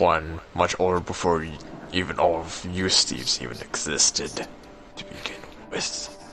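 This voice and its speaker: Over clear background noise, a man does a put-on character voice with a very deep, low pitch, fairly even intonation and a moderate pace. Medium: actual play. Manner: calm, smug.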